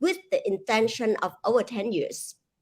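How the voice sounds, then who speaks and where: A woman with a Vietnamese accent and a fairly high pitch, on a very clean recording with a silent background. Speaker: author and speaker. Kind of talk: interview.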